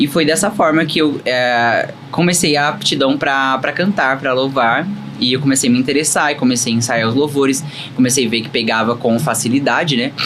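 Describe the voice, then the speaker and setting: This man talks at a moderate pace with a medium pitch and ordinary pitch variation. Noticeable background noise runs underneath. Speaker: gospel singer giving testimony. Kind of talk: testimony.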